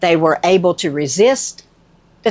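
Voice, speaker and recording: This woman has a fairly low pitch and speaks with a Southern US accent. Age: 60s. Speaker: nurse. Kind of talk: casual talk to camera.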